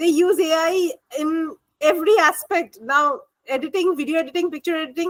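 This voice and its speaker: Speaking with a Bengali accent at a moderate pace, a woman uses an extremely high pitch with ordinary pitch variation, recorded dry and close with no echo. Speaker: MBA student. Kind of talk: group discussion.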